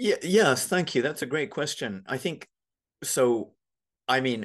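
A man speaking over a quiet background. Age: 50s. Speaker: lawyer and meditation teacher. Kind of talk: casual chat. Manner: halting.

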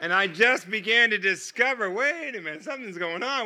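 A man's raised, projected voice, high in pitch, with a bright, sharp tone, lively intonation and moderate pace, in a very clean recording over a silent background. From United States. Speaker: guest preacher. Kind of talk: sermon. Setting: church. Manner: animated.

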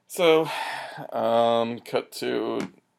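A male speaker with a medium pitch is heard on a very clean recording against a silent background. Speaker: podcast co-host. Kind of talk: casual chat.

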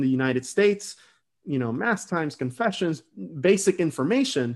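Over a quiet background, a man talks at a fairly quick pace with a fairly high pitch and lively intonation. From Venezuela, moved to the US at about nine. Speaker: app founder. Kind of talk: interview. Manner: hesitant, many fillers and repetitions.

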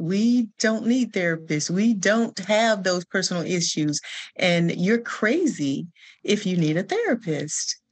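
With lively intonation, a woman of medium pitch speaks fairly slowly in a somewhat breathy voice against a quiet background. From Alabama. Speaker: nonprofit founder, trauma counselor. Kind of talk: panel discussion on livestream.

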